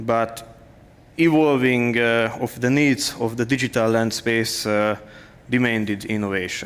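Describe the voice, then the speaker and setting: A man with a non-native accent, fairly slow in pace and fairly even in intonation. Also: medium pitch for a man. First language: not English. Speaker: conference speaker, developer and lecturer. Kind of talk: conference talk. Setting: stage with audience. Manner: halting, many fillers.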